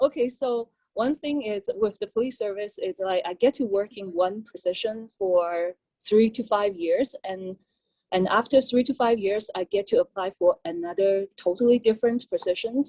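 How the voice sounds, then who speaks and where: A woman with a Chinese accent, fairly high pitch and a dark, mellow tone speaks at a moderate pace with ordinary pitch variation in a dry, close sound with no echo. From China. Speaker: police officer. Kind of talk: panel talk. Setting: panel at public forum.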